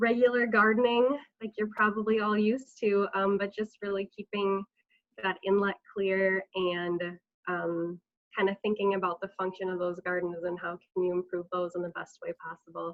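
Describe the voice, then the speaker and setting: An ordinary speaking voice, this woman's medium-pitched delivery moves at a moderate pace with fairly even intonation. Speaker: watershed district staff presenter. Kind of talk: webinar presentation.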